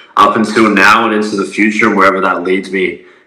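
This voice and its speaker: A man's fairly low, monotone voice with flat intonation at a fairly quick pace, with audible room echo and noticeable background noise. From Adelaide, South Australia. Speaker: semi-professional basketball player and content creator. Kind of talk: casual interview.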